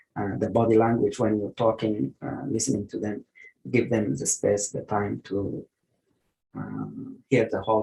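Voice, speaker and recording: The speech comes at a fairly slow pace with a non-native accent. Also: man. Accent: noticeable non-native. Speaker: geriatric medicine physician. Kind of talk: online lecture and Q&A. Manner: hesitant, many fillers.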